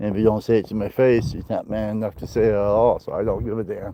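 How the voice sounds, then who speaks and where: Someone with an American accent speaks at a fairly quick pace with ordinary pitch variation amid noticeable background noise. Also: man. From northwest Iowa. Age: 50s. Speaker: outdoors vlogger. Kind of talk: casual live-stream chat while hiking. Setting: outdoors on a hike.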